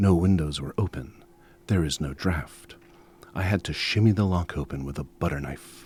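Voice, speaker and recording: A man with a very deep, low pitch speaks at a moderate pace in a somewhat breathy voice with ordinary pitch variation. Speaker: storyteller. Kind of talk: ghost story reading on radio. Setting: radio studio.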